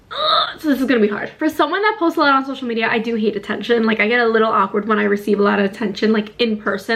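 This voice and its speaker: An animated voice with an American accent talks at a very fast pace. Pitch variation is ordinary, and background noise is noticeable. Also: woman. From New York City, Staten Island. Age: 20s. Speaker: lifestyle vlogger. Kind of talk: casual vlog chat.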